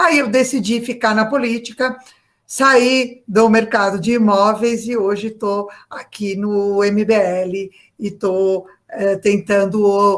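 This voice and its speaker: A woman with a fairly high pitch speaks at a very slow pace, her intonation fairly even. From Brazil, São Paulo. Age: 60s. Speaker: real estate agent, political activist. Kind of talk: interview. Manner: hesitant, many fillers.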